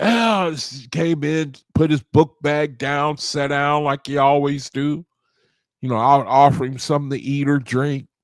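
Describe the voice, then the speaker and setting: A man with an ordinary speaking voice talks fairly slowly at a fairly high pitch, keeping his intonation fairly even. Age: 60s. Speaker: study group leader. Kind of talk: casual talk.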